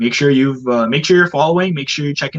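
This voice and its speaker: A man with a Canadian accent speaks at a fairly high pitch with ordinary pitch variation. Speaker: sports marketing coordinator. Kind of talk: podcast interview. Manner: fast.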